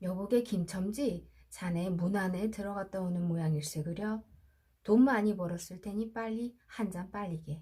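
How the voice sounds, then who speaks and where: A woman talks at a fairly slow pace. Her voice is somewhat breathy, with a dark, mellow tone. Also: medium pitch for a woman, ordinary pitch variation. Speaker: audiobook narrator. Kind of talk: sleep story. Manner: soft-spoken, slow.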